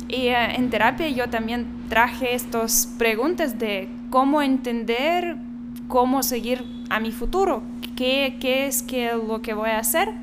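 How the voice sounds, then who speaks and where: Over noticeable background noise and audible room echo, a woman with a high pitch speaks at a very slow pace with fairly even intonation. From Belarus. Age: 20s. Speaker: doctor. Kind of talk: interview.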